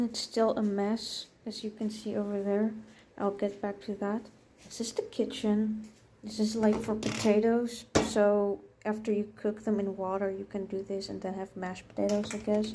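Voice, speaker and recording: With a Dutch accent, a woman speaks at a moderate pace in a fairly high, somewhat breathy voice. Her tone is dark and mellow, and her intonation monotone and flat. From Netherlands. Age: 20s. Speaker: vlogger. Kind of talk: casual apartment tour. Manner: hesitant with fillers.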